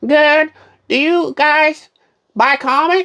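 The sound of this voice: A man's put-on character voice, extremely high in pitch, bright and sharp, at a slow pace with ordinary pitch variation.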